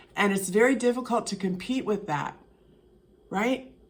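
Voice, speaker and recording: A woman talks at a moderate pace with a medium pitch. Her tone is animated and her intonation lively. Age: 60s. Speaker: vlogger. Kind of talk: casual monologue. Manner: halting.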